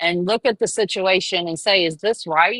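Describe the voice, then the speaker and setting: A woman's medium-pitched voice with a Southern US accent, fairly quick, bright and sharp in tone, dry and close with no echo against a quiet background. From US South, Charleston, South Carolina. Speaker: caller. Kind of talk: casual chat. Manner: halting.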